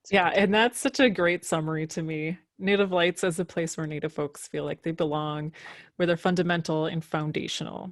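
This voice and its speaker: Speaking with a Minnesotan accent, this voice keeps a fairly even intonation in a dry, close sound with no echo. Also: woman. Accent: Minnesota. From Minnesota, Minneapolis. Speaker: podcast host. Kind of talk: conference presentation.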